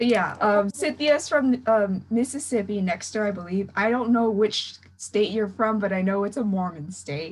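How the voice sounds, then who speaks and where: A woman with an American accent speaks at medium pitch in a somewhat breathy voice. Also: ordinary pitch variation, moderate pace. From California. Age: young. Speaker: podcast host. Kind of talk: casual chat.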